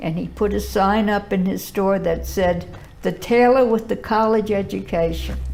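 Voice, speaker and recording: Slowing to a fairly slow pace, a woman with an American accent speaks amid audible room echo. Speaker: historian. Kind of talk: interview, life story. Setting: filmed interview.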